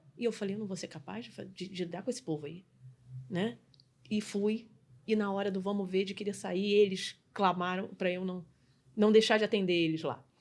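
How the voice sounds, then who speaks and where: A woman speaks at a moderate pace in a medium pitch, with fairly even intonation. Her loudness swings widely, and her pauses are long and frequent. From Brazil, Rio de Janeiro. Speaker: customer experience specialist and business mentor. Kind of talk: podcast interview.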